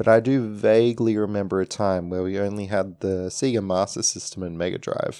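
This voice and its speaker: With an Australian accent, a man talks fairly quickly in a dark, mellow tone at a fairly low pitch, his intonation fairly even. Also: hardly any pauses. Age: 20s. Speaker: podcast host. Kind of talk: solo podcast monologue.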